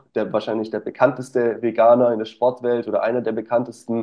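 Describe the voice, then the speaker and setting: A man with a normal speaking voice speaks at medium pitch and a fairly quick pace. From Stuttgart area, Germany. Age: 20s. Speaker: nutrition coach. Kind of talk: casual interview.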